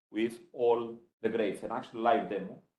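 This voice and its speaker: A man speaks at a moderate pace, with audible echo from the room around him. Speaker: computer science professor. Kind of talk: conference talk. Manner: loud.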